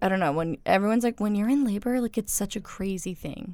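In a very clean recording with a silent background, a woman talks at a fairly quick pace in a plain, everyday voice, medium in pitch with ordinary pitch variation. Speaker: student radio co-host. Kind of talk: casual chat. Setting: studio.

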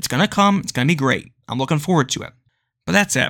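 A man with a bright, sharp tone and lively intonation is heard on a very clean recording with a silent background. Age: 20s. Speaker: wrestling podcast host. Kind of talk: casual monologue.

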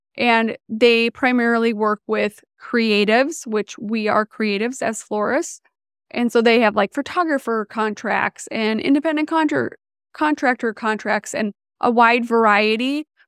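A woman with a fairly high pitch speaks at a fairly slow pace in an ordinary speaking voice, with ordinary pitch variation. The sound is dry and close with no echo, on a very clean recording with a silent background. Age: 40s. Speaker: podcast host and florist business coach. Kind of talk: casual solo podcast talk.

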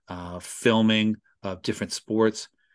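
Against a quiet background, a man with a normal speaking voice talks at a fairly low pitch. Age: 50s. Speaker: radio host. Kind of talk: interview.

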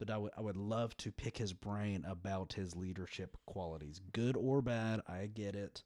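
At a moderate pace with hardly any pauses, a man speaks with a fairly low pitch and a dark, mellow tone. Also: ordinary pitch variation, very clean recording, silent background. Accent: Texan. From West Texas. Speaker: podcast guest. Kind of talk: casual chat.

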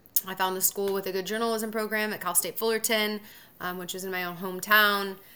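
A woman speaks in a medium pitch. She has a Californian accent. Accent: Californian American. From Southern California. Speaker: TV sports anchor. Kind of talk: interview. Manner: casual, filler-heavy.

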